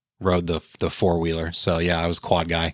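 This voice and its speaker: A man with an American accent speaks at a very fast pace, his very deep, low pitch paired with a bright, sharp tone. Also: very clean recording, silent background. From Pittsburgh, Pennsylvania. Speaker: motocross team manager. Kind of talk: casual interview. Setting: in-person studio.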